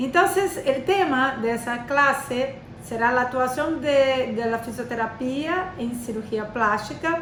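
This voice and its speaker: A woman speaks at a high pitch with lively intonation. Audible room echo surrounds her voice. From Brazil. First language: Portuguese (speaking Spanish). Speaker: physiotherapist and lecturer. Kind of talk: lecture. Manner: halting, many fillers.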